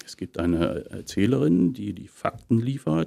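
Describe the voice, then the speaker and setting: A man with a Berlin accent speaks fairly slowly in a dark, mellow tone. The background is quiet. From Potsdam, eastern Germany; Germany. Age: 50s. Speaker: actor and voice actor; actor, voice actor. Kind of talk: casual interview. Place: studio.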